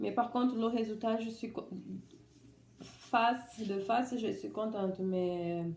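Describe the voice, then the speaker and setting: A woman's fairly high voice with a non-native accent, very slow and fairly even, broken by long, frequent pauses, with audible room echo. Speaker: vlogger sharing surgery experience. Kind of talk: personal testimony vlog. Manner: halting, many restarts.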